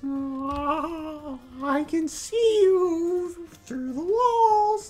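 The put-on character voice sits at an extremely high pitch. It moves at a very slow pace. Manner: playful, cartoonish.

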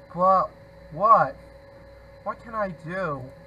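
Slowly, a man speaks in a high pitch with ordinary pitch variation. His tone is bright and sharp.

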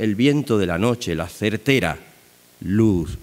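Low-pitched male voice, slightly mellow in tone, with ordinary pitch variation

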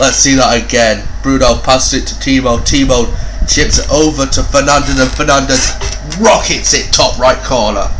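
Amid noticeable background noise, a man talks at a moderate pace with very even loudness. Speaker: gaming YouTuber. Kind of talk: sports commentary. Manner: animated, rising excited play-by-play with exclamations; casual, swears freely.

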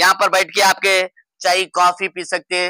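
A man speaks at a high pitch with a bright, sharp tone, recorded with a dry, close sound and no echo.

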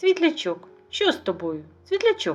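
A put-on character voice at a moderate pace.

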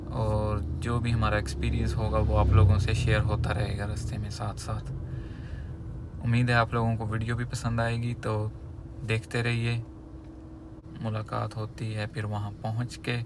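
A man's fairly low voice at a fairly slow pace, with ordinary pitch variation and long, frequent pauses, in a dry sound with no echo over noticeable background noise. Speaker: travel vlogger driving. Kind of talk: casual vlog chat. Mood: calm, friendly. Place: car. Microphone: phone near.

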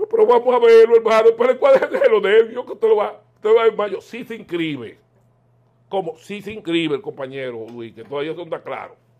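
The speaker has a Dominican accent and a fairly quick pace. Loudness swings widely against a quiet background. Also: man. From Dominican Republic. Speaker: political commentator. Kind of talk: political interview. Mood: animated, opinionated political talk. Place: home room. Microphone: lapel.

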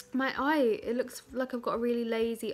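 The pace is moderate as a woman talks. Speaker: vlogger. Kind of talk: casual vlog chat. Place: home room. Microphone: phone near.

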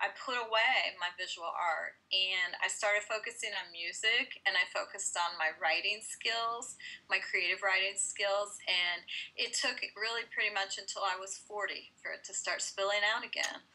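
A woman talks in a bright, sharp tone with fairly even intonation. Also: moderate pace. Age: 50s. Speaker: mixed media artist and stencil company founder; interviewee. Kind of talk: interview. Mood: reflective, personal storytelling. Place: home room. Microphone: headset.

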